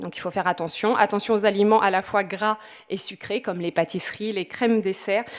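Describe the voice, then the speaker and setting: A woman speaks at a medium pitch and a fairly quick pace. Her intonation stays fairly even. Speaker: dietitian-nutritionist. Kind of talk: presentation talk. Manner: fast; hesitant with many fillers.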